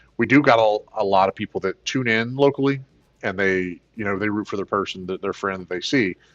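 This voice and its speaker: A man's fairly low-pitched voice at a fairly quick pace, with music in the background. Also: ordinary pitch variation. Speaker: gaming streamer and tournament organizer. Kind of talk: casual livestream chat.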